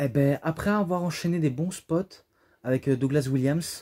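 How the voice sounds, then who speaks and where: A man speaks in a dark, mellow tone on a very clean recording with a silent background. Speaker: wrestling DVD reviewer. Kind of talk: casual video review monologue. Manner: hesitant, many fillers.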